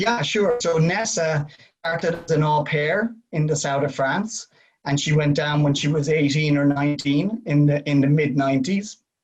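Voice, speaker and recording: A man's somewhat breathy voice, fairly high-pitched, with very even loudness and ordinary pitch variation. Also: moderate pace. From Ireland. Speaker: winery representative. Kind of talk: casual chat.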